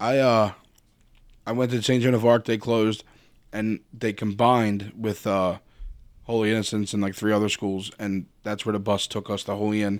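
In a very clean recording with a silent background, a man with a Philadelphia accent speaks at a moderate pace, his fairly low pitch flat and monotone. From Philadelphia, Kensington. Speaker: tailgate organizer. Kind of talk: casual chat. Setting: studio.

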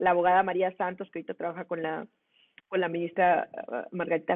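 A woman's fairly low voice, very fast and monotone, with flat intonation. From Mexico, Monclova (Coahuila). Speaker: lawyer and women's rights activist. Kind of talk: interview.

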